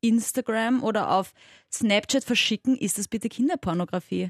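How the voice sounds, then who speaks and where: Recorded dry and close with no echo against a quiet background, a woman uses an unremarkable speaking voice, fairly high in pitch with lively intonation. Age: 20s. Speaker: sex educator and radio host. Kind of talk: casual chat.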